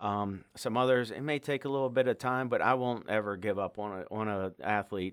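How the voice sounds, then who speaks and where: With hardly any pauses, a man speaks at a fairly low pitch with ordinary pitch variation, on a very clean recording with a silent background. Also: fairly quick pace. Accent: American. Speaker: high school wrestling coach. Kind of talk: interview. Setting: studio. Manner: halting, many fillers.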